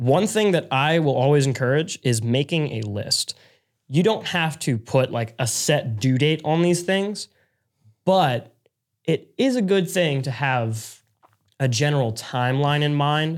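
A man's normal speaking voice at a fairly high pitch, a fairly slow pace and lively intonation, on a very clean recording with a silent background. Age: young. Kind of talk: casual chat.

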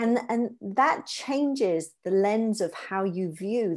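With a British accent, a woman speaks at a medium pitch with lively intonation on a very clean recording against a silent background. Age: 40s. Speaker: positive psychologist. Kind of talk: interview, explaining psychology. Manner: hesitant repetitions.

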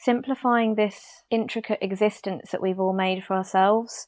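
Against a quiet background, a woman with a British accent speaks at a fairly slow pace and fairly high pitch. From UK. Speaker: interior designer. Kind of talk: interview conversation.

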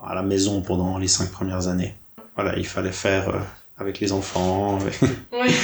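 Amid audible room echo, a man with a very deep, low pitch speaks in a flat monotone at a moderate pace, leaving long, frequent pauses. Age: 30s. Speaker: graphic designer. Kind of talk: interview conversation.

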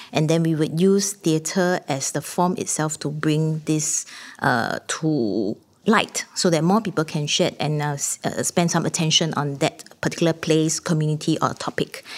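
In a Singaporean accent, a woman with a very deep, low pitch talks at a moderate pace with ordinary pitch variation. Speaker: theatre artistic director. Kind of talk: panel discussion.

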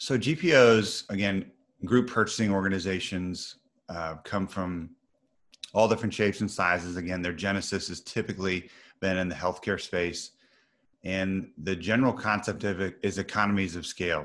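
Spoken at a moderate pace in a Midwestern American accent, the voice has ordinary pitch variation over a quiet background. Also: man, very deep, low pitch for a man. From US Midwest (Missouri). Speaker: business executive in procurement. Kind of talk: interview.

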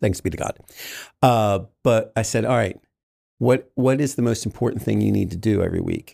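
With an American accent, a man speaks at medium pitch and a moderate pace, his dark, mellow tone carrying vocal fry and fairly even intonation. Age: 50s. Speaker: artist and graphic designer. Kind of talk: casual interview conversation.

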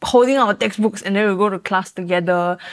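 A woman speaks in a normal speaking voice at a medium pitch with fairly even intonation. The recording is very clean, with a silent background. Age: 20s. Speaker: recent graduate. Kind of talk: casual chat.

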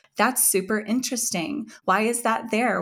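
Moderate in pace, this is a normal speaking voice. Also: woman. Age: 40s. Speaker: entrepreneur and author on women's hormone health. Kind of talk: interview conversation.

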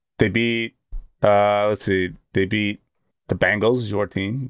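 Speaking at a fairly slow pace, a man has an unremarkable speaking voice with fairly low pitch. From Boston. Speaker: sports podcast co-host. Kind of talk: casual chat.

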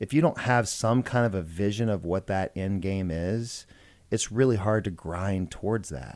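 With an American accent and a plain, everyday voice, a man speaks at a moderate pace in a fairly low pitch with ordinary pitch variation. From US South, Georgia (Macon). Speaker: plastic surgeon. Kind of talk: casual interview chat. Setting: studio.

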